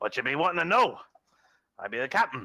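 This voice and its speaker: This is a put-on character voice. It rattles along at a very fast pace. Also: man. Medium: actual play. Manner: blustering, wheedling.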